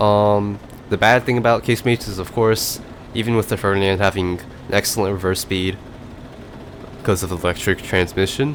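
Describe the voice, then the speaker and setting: A man at fairly low pitch with fairly even intonation, a fairly quick pace broken by long, frequent pauses, and noticeable background noise. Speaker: gaming video commentator. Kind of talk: gameplay commentary. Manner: mumbling, slurred at times; casual, filler-heavy.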